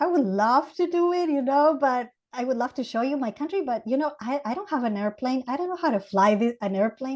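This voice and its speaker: A woman with an Ecuadorian accent speaks at a fairly quick pace. Her high voice has lively intonation. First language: Spanish. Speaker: Montessori educator. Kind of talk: podcast interview.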